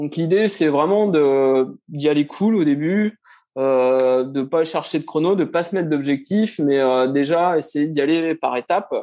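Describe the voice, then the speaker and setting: Against a quiet background, a man with a dark, mellow tone speaks at a fairly slow pace, keeping his loudness very even and his pitch variation ordinary. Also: fairly high pitch for a man. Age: 40s. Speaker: amateur runner, former footballer. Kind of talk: interview.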